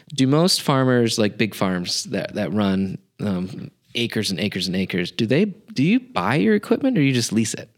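A man talks in an ordinary speaking voice at a medium pitch. He keeps a moderate pace with lively intonation. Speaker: podcast host. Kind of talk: casual interview chat.

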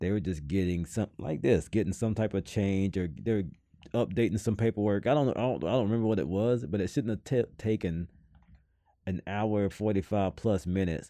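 A man's voice in a Southern US accent, its pitch varying in an ordinary way. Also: moderate pace. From US South. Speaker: podcast co-host. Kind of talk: casual chat. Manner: animated.

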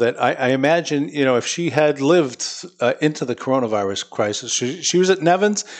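A man's fairly high, lively voice moves at a fairly quick pace, delivered in a normal speaking voice. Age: 60s. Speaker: city mayor. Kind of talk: interview. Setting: studio with live audience.

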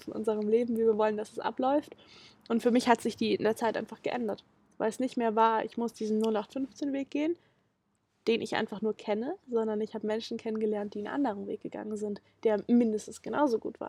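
The delivery moves at a fairly quick pace in a plain, everyday voice. Intonation stays fairly even, and the sound is dry and close with no echo. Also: woman. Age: 20s. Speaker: documentary film protagonist. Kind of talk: interview. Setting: on location, in person.

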